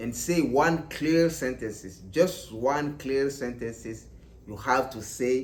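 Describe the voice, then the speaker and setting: Talking at a very slow pace with lively intonation, a man with a non-native accent is heard with audible room echo. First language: not English. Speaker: English learner vlogger. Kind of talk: casual tutorial. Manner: halting, repetitive.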